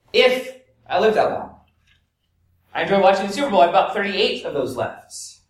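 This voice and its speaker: A man with an American accent at a moderate pace, with audible room echo. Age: 40s. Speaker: pastor. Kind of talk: sermon.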